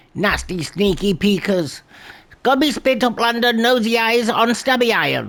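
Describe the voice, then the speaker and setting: In a put-on character voice, a female-sounding speaker talks at a moderate pace with a fairly high pitch. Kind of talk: broken creature speech. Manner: exaggerated, hammy.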